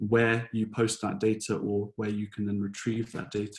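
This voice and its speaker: A man speaks with a British accent at a medium pitch. His pace is moderate. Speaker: software solution designer. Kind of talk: webinar presentation. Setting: online webinar. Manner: hesitant, many fillers.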